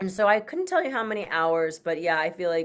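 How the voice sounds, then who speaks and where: A woman talks with an American accent. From US Midwest, Michigan. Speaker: voice actor. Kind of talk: interview.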